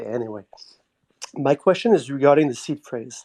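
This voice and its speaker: Recorded dry and close with no echo, a man speaks in a Quebec accent. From Quebec, Montreal. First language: French. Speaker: community member asking a question. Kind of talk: live audio chat question. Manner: halting.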